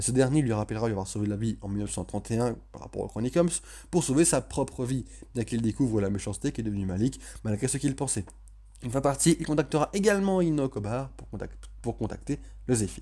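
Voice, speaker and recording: On a very clean recording with a silent background, a man speaks very fast. His pitch is medium and his intonation lively. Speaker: TV series reviewer. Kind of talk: video review with plot recap. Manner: self-correcting, restarts words.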